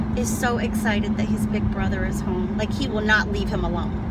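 A woman speaks with music in the background and a dry sound with no echo. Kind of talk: casual vlog chat. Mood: cheerful, laughing. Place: car. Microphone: phone near.

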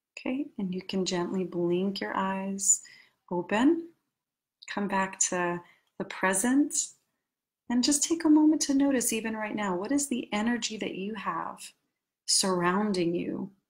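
Speaking fairly slowly with long, frequent pauses, a woman with an American accent sounds somewhat breathy, her intonation lively. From New York City. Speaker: life coach. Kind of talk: guided meditation; coaching talk. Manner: halting. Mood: calm, soothing. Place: home room. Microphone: webcam.

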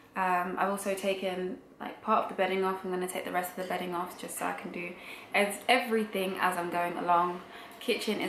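A woman speaks at a very fast pace with fairly even intonation. Audible room echo and light background noise surround her voice. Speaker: vlogger. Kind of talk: casual vlog chat. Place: home room. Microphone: camera far.

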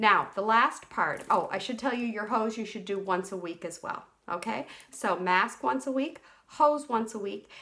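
Few pauses break this woman's moderate pace as she speaks with lively intonation in a bright, sharp tone. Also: medium pitch for a woman.

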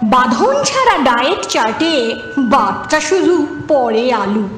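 A woman speaks in a high voice. Music plays in the background. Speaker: reciter. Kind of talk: poetry reading.

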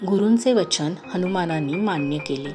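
Over music in the background, a soft-spoken woman talks with ordinary pitch variation. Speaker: storyteller, narrator. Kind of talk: devotional story narration. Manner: soft-spoken, calm.

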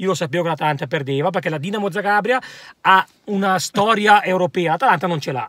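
A man's very fast voice, high in pitch and bright and sharp in tone, in a dry sound with no echo. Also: ordinary pitch variation, quiet background. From Italy. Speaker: football commentator. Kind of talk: heated football debate. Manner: animated, heated. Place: car. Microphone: phone near.

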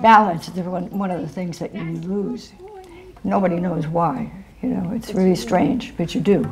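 A woman speaks at a moderate pace with a medium pitch and ordinary pitch variation. Faint music plays in the background. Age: 80s+. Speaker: active senior; interviewee. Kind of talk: interview. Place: home room. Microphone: lapel.

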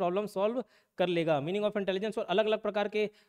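Against a quiet background, the speaker talks at a moderate pace with ordinary pitch variation. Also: man. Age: 20s. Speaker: exam coaching teacher; coaching teacher. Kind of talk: classroom lecture; lecture. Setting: live classroom with students. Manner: repetitive, emphatic. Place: classroom. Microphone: lapel.

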